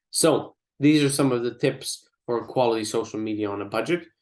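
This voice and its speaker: A man of medium pitch uses an ordinary speaking voice at a moderate pace. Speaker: digital marketing trainer. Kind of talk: online workshop presentation.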